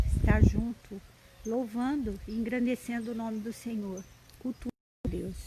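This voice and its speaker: A woman speaks in a soft-spoken way. Noticeable background noise can be heard. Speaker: lay preacher. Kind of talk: live-stream devotional talk. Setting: live stream.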